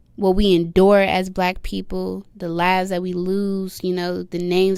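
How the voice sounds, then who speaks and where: Soft-spoken, a woman talks at a moderate pace and medium pitch in a flat monotone. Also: hardly any pauses. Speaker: rapper. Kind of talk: interview.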